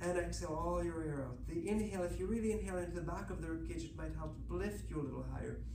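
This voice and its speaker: A man talks at a very fast clip over noticeable background noise. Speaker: Pilates instructor. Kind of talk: bilingual exercise class, guided instruction. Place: gym. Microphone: camera far.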